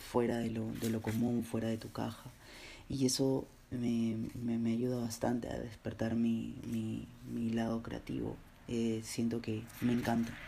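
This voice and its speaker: Audible room echo surrounds a man whose dark, mellow, medium-pitched voice stays monotone and flat at a fairly slow pace. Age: 20s. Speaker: graphic designer, podcast host. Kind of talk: solo personal monologue. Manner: hesitant, many fillers and repeated words.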